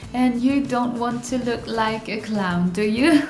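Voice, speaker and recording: A woman speaks at a fairly slow pace in a high voice with ordinary pitch variation and a non-native accent, with music playing in the background and audible room echo. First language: not English. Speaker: beauty vlogger. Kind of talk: tutorial. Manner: halting, many fillers.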